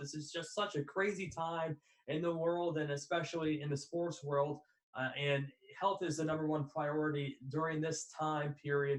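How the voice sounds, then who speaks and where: A man talks at a moderate pace in a plain, everyday voice, pitched fairly high, with fairly even intonation. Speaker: podcast host, student sports broadcaster. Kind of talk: interview question.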